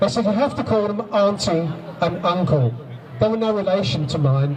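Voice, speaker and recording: Amid noticeable background noise and audible room echo, a man speaks at a moderate pace in a high pitch with lively intonation. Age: 60s. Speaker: abuse survivor and campaigner. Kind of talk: testimony. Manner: halting, repeating words.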